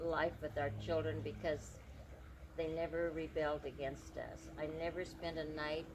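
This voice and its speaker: Some room echo can be heard. The delivery is at a moderate speed. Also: woman. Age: 80s+. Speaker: pastor's widow and mother recounting life stories. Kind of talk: interview storytelling. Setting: outdoors beside a highway. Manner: halting, many fillers.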